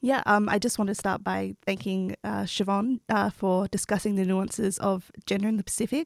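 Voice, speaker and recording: A woman with an Australian accent, medium in pitch and fairly even in intonation, at a fairly quick pace, in a very clean recording with a silent background and a dry, close sound with no echo. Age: 20s. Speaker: PhD candidate, environmental researcher. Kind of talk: panel discussion.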